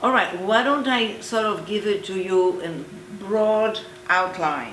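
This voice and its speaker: Over noticeable background noise and audible room echo, a woman with a medium pitch and ordinary pitch variation speaks at a very slow pace. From Poland. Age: 70s. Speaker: Holocaust survivor. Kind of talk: oral history interview.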